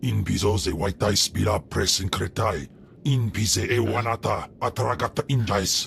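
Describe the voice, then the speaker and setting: A man performs a put-on character voice, fairly low in pitch, at a moderate pace. Clear background noise and hissing run underneath. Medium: video game. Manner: speaks alien language.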